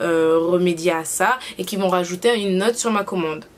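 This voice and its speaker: A woman with a fairly low pitch talks at a moderate pace, her intonation fairly even, as noticeable background noise plays behind her. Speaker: YouTuber. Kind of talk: casual vlog review. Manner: hesitant, many fillers.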